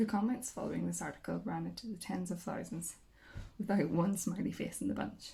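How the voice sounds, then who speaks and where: Soft-spoken and at a fairly quick pace, a woman talks with a Northern Irish accent. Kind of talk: audiobook reading, relaxing.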